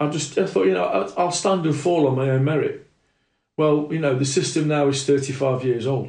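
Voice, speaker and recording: A man with a British accent speaks in a fairly high, somewhat breathy voice. His loudness stays very even, and his pitch varies in an ordinary way. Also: moderate pace. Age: 60s. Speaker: martial arts instructor. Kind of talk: casual chat.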